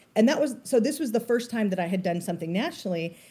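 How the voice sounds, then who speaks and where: Her tone animated and her intonation lively, a woman speaks at a medium pitch. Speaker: quilting business owner and teacher. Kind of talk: casual interview chat. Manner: fast talker; loud, gregarious, animated.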